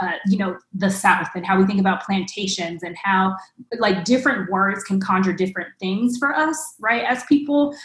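Woman at medium pitch with an American accent, a plain, everyday voice at a moderate pace. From Los Angeles, Watts. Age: 30s. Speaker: education nonprofit leader. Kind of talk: panel discussion. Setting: video call.

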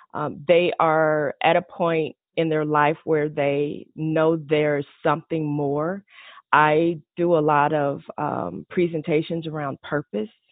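Speaking with an American accent, a woman has a very deep, low pitch. Her pace is very slow and her intonation fairly even. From Texas, Fort Worth. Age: 50s. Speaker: business consultant. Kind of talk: interview conversation.

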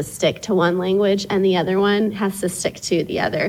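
At a fairly quick pace and medium pitch, a woman with an American accent speaks in a normal speaking voice with fairly even intonation. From East Texas (Tyler). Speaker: parent. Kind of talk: casual chat.

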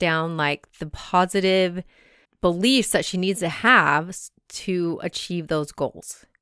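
A normal speaking voice from a woman, fairly low in pitch and fairly slow, on a very clean recording with a silent background. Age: 40s. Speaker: podcast host; mother and substitute teacher. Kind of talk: solo reflective monologue. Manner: casual, conversational.

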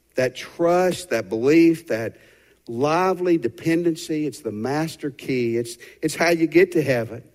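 On a very clean recording with a silent background, a man with a Southern US accent speaks with a fairly high pitch and lively intonation. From Tennessee. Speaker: pastor. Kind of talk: sermon. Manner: animated.

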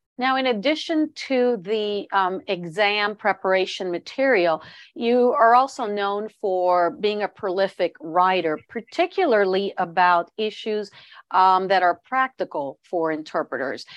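Speaking fairly slowly with lively intonation, a woman of medium pitch has an unremarkable speaking voice. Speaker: podcast host. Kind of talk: interview.

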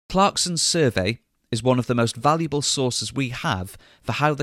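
On a very clean recording with a silent background, a man speaks in a normal speaking voice with lively intonation. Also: dry, close sound with no echo. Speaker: podcast host and guide. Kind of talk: history documentary narration, scripted-style. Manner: clear, measured, formal, explanatory.

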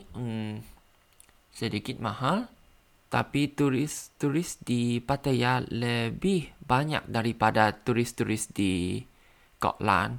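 On a very clean recording with a silent background, the speech goes at a very slow pace with ordinary pitch variation. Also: man, medium pitch for a man. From Thailand. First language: Thai (speaking Indonesian). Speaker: language learner podcaster. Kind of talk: language practice monologue; reading aloud. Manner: halting.

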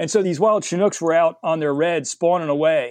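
Here a man with an American accent talks at fairly high pitch with ordinary pitch variation. The sound is dry and close with no echo, over a quiet background. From US Northeast, suburban New Jersey. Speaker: freshwater naturalist and educator. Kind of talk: casual interview. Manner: animated.

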